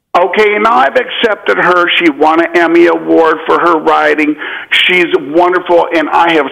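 There is noticeable background noise as a man speaks at a moderate pace. His pitch is high for a man, with ordinary pitch variation. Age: 40s. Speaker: caller. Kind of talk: phone-in confession.

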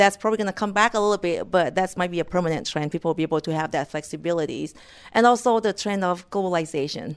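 A woman with a Thai accent speaks at a very fast pace in a fairly low pitch, in a very clean recording with a silent background. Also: ordinary pitch variation. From rural northeast Thailand, Mekong River. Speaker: corporate economist. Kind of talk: interview. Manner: halting.

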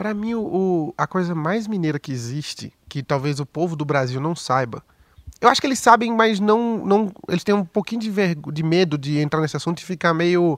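Pitched high, a man speaks with lively intonation. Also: moderate pace. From Pernambuco, Recife (Brazilian Northeast). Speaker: stand-up comedian. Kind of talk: casual chat.

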